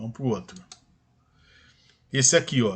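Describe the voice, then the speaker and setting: The man's voice is somewhat breathy. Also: quiet background. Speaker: math teacher. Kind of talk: lecture.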